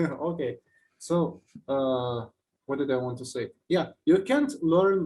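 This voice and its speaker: The voice carries a dark, mellow tone. It speaks with a Russian accent. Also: man. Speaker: musician guest. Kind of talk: casual interview chat.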